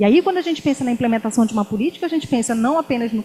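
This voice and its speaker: Ordinary pitch variation and a fairly high pitch from a woman with a normal speaking voice. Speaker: university professor. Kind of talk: academic talk. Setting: lecture hall with student audience.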